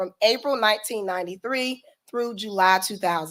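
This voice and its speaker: This woman has a Southern US accent. Her pitch varies in an ordinary way. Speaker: event organizer. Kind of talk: reading aloud. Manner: formal.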